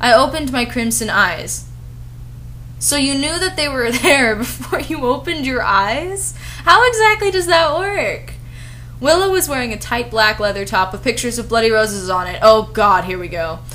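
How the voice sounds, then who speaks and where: A woman talks at a moderate pace while noticeable background noise plays beneath her. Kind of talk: comedic fan-fiction review with dramatic reading. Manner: sarcastic.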